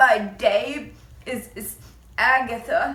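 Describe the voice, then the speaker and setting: The speaker uses a put-on character voice. It sounds nasal. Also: woman, high pitch for a woman. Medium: read story.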